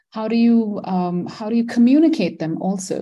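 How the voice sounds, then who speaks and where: Her tone is dark and mellow, and the woman's voice carries a somewhat breathy edge. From Malaysia. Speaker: environmental philosopher and architect. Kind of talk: interview. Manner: halting, many fillers.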